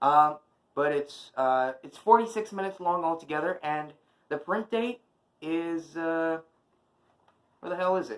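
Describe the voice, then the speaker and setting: A man shouts in a high voice, his loudness swinging widely. He goes fairly slowly, with long and frequent pauses. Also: ordinary pitch variation. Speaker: YouTuber doing unboxing videos. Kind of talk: casual unboxing vlog. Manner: shouting a little.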